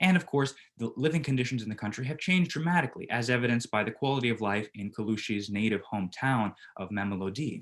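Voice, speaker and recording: A man with an American accent talks at a very fast pace. His pitch is medium, and his intonation is lively. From United States. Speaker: business student presenter. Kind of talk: group presentation. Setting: virtual presentation.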